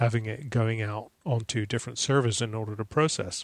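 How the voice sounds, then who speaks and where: A man with an unremarkable speaking voice, medium pitch and fairly even intonation at a moderate pace, in a dry, close sound with no echo on a very clean recording with a silent background. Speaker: Mac consultant. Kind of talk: casual chat.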